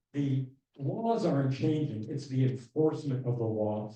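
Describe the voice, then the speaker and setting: A man with a dark, mellow tone and medium pitch talks somewhat breathily, his intonation lively. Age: 60s. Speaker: LGBTQ rights advocate. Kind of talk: town hall presentation. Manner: casual, conversational.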